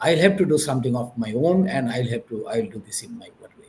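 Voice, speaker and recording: A man speaks with a Bengali accent and a somewhat breathy sound. His pitch makes very wide swings. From Bangladesh. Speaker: business executive. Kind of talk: interview. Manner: halting, with many fillers.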